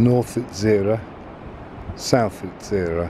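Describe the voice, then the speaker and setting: A man at a fairly low pitch with fairly even intonation and a very slow pace, amid noticeable background noise. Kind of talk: shipping forecast area list reading, almost ASMR. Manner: soft-spoken, calm.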